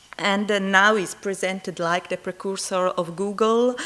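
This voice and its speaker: Speaking fairly slowly with a strong Italian accent, a woman keeps a medium pitch and a fairly even intonation. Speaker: conference presenter. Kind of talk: conference poster presentation. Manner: halting, many fillers.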